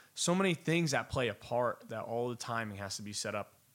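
An unremarkable speaking voice from a man with an American accent, medium in pitch, at a moderate pace, on a very clean recording with a silent background. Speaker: singer-songwriter and producer. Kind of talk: casual interview.

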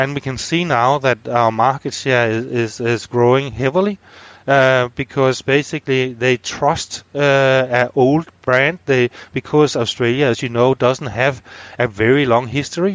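Recorded dry and close with no echo against a quiet background, a man with a Danish accent speaks at a moderate pace in a medium pitch with fairly even intonation. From Denmark, north Zealand. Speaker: business executive. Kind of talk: interview. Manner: halting.

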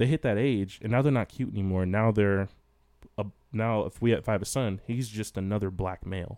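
A man's fairly low, dark and mellow voice at a fairly quick pace. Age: 20s. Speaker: podcast host. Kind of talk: casual chat.

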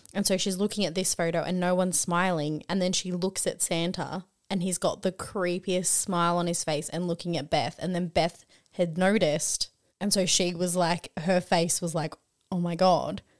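An animated woman with a fairly low pitch talks at a moderate pace in an Australian accent. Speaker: podcast co-host. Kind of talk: casual chat. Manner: animated, excitable.

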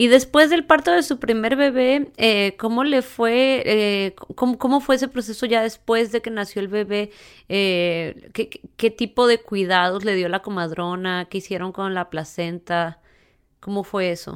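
A plain, everyday voice carries lively intonation at a fairly slow pace. The recording is very clean with a silent background. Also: woman, fairly high pitch for a woman. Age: 30s. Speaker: podcast host. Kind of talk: interview.

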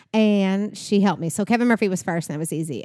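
A woman with a Southern US accent speaks at a medium pitch in a dark, mellow tone with fairly even intonation. The recording is very clean, with a silent background. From Kentucky, Bowling Green. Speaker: salon business owner. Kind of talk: interview, casual chat.

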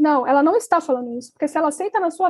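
A woman's high-pitched voice at a very fast pace. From Brazil, Brasília. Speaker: journalist and author, cancer patient. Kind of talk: interview.

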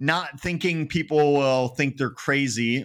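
A man with an Upper Midwest accent speaks at a moderate pace. His voice is fairly high, and the recording is very clean with a silent background. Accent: Upper Midwest American. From Wisconsin (Eau Claire). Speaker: paranormal researcher and author. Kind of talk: casual interview.

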